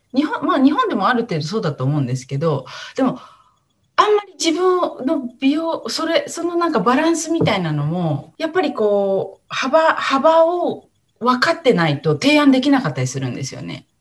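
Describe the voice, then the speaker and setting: The loudness swings a lot. The pace is moderate. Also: woman. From rural Japan. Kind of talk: casual interview.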